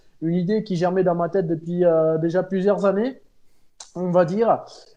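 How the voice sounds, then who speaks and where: A man speaks at a moderate pace. He has a slight Pyrenees accent. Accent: slight southern French (Pyrenees). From French Pyrenees. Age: 30s. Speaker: amateur cyclist, charity fundraiser. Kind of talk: interview. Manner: hesitant, many fillers.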